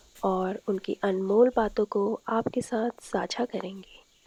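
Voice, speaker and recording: Speaking at a medium pitch, a woman is heard against noticeable background noise. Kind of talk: documentary voice-over narration.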